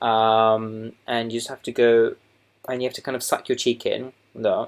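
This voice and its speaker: The recording is very clean, with a silent background. A man with a Southern English accent talks at a moderate pace. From Essex, England. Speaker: doctor. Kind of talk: makeup tutorial talk to camera. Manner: hesitant, casual.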